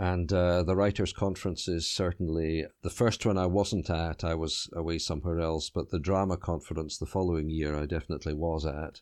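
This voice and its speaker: A man with an Edinburgh accent talks in a very deep, low pitch at a fairly quick pace, with hardly any pauses. His intonation stays fairly even against a quiet background. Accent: Scottish (Edinburgh). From Scotland, Edinburgh. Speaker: novelist. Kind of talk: interview. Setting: remote interview from home. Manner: halting.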